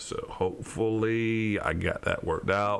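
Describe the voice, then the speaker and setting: A man speaks with audible room echo. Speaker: photography YouTuber. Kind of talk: live stream chat. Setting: home, on a couch, live stream. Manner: soft-spoken, chill; casual, filler-heavy.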